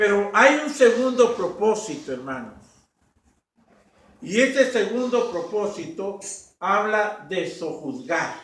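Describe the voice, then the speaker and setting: At a very slow pace with long, frequent pauses, a man with a high pitch uses lively intonation amid audible room echo. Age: 60s. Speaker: pastor. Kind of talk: sermon.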